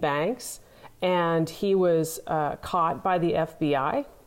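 Pitched fairly low, a woman with an American accent speaks with ordinary pitch variation. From US Midwest, Nebraska. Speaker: entrepreneur and author. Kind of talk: interview. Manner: halting, many fillers.

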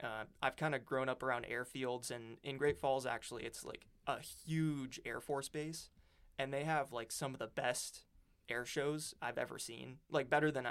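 At a moderate pace, a man with an American accent speaks at a medium pitch with fairly even intonation in an ordinary speaking voice. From Montana. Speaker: engineering student. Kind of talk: casual chat.

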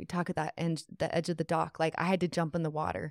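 At a very fast pace, a woman talks in a fairly low pitch with vocal fry and monotone, flat intonation, on a very clean recording with a silent background and a dry, close sound with no echo. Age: 40s. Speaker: life coach. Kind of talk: testimony. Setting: studio.

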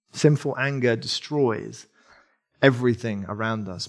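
A man speaks fairly slowly in an English accent at a medium pitch. His intonation is fairly even. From England. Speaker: preacher. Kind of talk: sermon. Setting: church.

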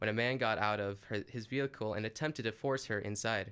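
A man speaks at a moderate pace in a normal speaking voice with fairly even intonation. The recording is very clean, the background silent. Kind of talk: scripted local news bulletin read in a radio newscaster's style. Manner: formal, measured, steady newsreader delivery; brisk and matter-of-fact, reporting facts and police details.

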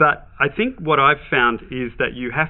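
With an Australian accent, a man talks at a moderate pace and with fairly even intonation. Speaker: business leadership expert. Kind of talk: podcast interview.

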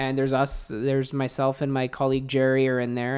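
A man's fairly quick, monotone, flat delivery at medium pitch amid noticeable background noise. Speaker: automotive editor and podcaster. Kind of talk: casual interview. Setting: in person studio.

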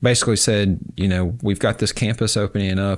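A man with an American accent has an unremarkable speaking voice and fairly even intonation. The recording is very clean, with a silent background. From western North Carolina, rural Avery County. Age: 40s. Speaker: documentary filmmaker and film professor. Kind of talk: casual interview conversation.

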